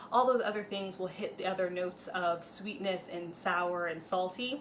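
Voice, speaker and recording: Against noticeable background noise and audible room echo, a woman speaks at a moderate pace in a medium pitch with ordinary pitch variation. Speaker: cooking video host. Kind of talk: cooking tutorial. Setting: home kitchen. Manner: casual with fillers.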